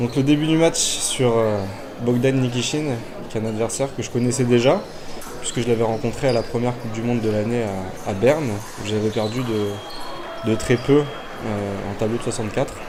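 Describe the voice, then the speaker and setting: Over noticeable background noise and audible room echo, a man of medium pitch talks at a moderate pace with fairly even intonation. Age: 20s. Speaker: fencer. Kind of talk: sports commentary. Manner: halting, many fillers.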